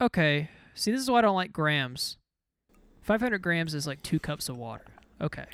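The speech moves at a fairly quick pace yet has long, frequent pauses. The recording is very clean with a silent background. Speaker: podcast co-host. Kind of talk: casual chat.

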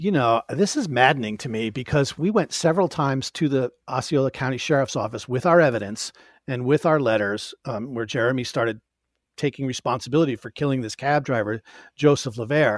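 A man uses an ordinary speaking voice with an American accent, at medium pitch with ordinary pitch variation and a fairly quick pace. The recording is very clean and silent in the background, with a dry, close sound and no echo. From upstate New York. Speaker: author and podcast host. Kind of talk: casual interview.

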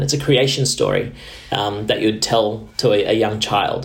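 A man with an Australian accent speaks at a medium pitch with ordinary pitch variation. There is audible room echo and noticeable background noise. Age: 30s. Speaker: diplomat. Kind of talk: interview. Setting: video call.

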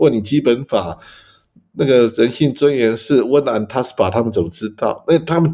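A man speaks in a dark, mellow tone. His pace is moderate. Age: 50s. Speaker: law professor. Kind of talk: casual chat. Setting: overseas call.

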